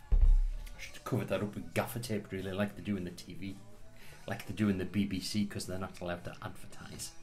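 A man speaks at a moderate pace with a fairly low pitch and fairly even intonation, with music playing in the background. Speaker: whisky reviewer. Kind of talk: casual tasting review chat. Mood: relaxed, joking. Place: home room. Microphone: camera far.

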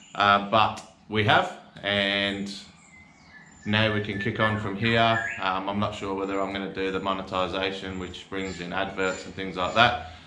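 A man's monotone, flat delivery amid audible room echo and light background noise. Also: fairly low pitch for a man, moderate pace. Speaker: fishing channel host. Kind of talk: casual vlog chat. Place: garage.

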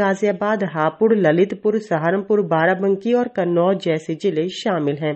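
A woman with an unremarkable speaking voice talks with ordinary pitch variation. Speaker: news reporter. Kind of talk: news reading, weather report.

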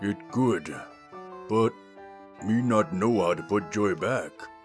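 Over clear music in the background, a man speaks at a fairly low pitch with lively intonation. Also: fairly slow pace. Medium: audio drama. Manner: simple broken speech, slow, sad.

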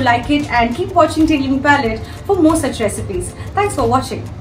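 A woman's high-pitched voice is accompanied by faint music in the background. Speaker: food blogger. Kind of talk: cooking tutorial. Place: kitchen. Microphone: phone near.

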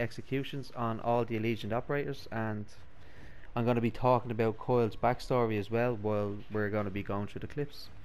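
In a strong Dublin accent, a man at medium pitch speaks at a moderate pace with fairly even intonation, and audible room echo can be heard. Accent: thick Dublin. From Ireland, Dublin. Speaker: gaming YouTuber. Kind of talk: reading aloud; gameplay commentary.

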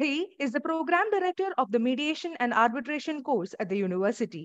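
A woman speaks at a fairly quick pace in a high pitch with very wide pitch swings, the sound dry with no echo against a quiet background. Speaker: webinar host, student moderator. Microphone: earbuds.

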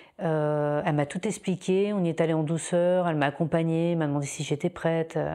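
A woman's dark, mellow voice, fairly low in pitch and fairly even in intonation, against a quiet background. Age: 40s. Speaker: breast cancer patient giving testimony. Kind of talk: testimony. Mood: calm, reflective, personal. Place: home room. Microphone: lapel.

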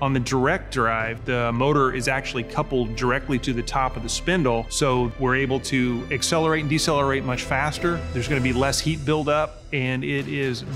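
Clear music plays behind a man talking at a fairly quick pace. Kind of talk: interview answer. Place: shop.

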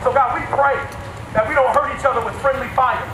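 A man talks at a fairly quick pace in an extremely high pitch. Audible room echo and noticeable background noise fill the clip. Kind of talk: public prayer. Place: street.

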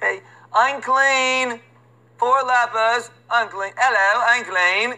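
Someone does a put-on character voice in a British accent, fairly high in pitch and at a very slow pace.

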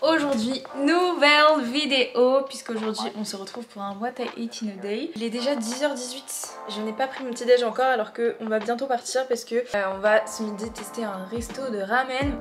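A woman speaks at a fairly slow pace in a high pitch, her loudness swinging widely. Light background noise is audible. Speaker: vlogger. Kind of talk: casual vlog chat. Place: kitchen. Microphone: phone near.

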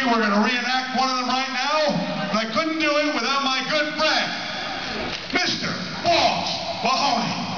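A man with an extremely high pitch speaks at a moderate pace, taking long, frequent pauses, with ordinary pitch variation. Noticeable background noise and audible room echo are present. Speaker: professional wrestler. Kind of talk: live comedy skit to wrestling crowd. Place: hall.

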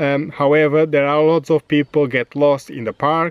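A man speaks at a moderate pace in a fairly high pitch. His tone is clear and smooth, with little pitch movement.

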